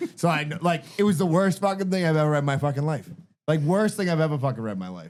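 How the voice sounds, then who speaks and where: In a strong Boston accent, a man with a fairly high pitch rattles along at a very fast pace in an animated tone. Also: lively intonation. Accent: Boston accent, strong and getting stronger. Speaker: podcast host. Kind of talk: casual chat.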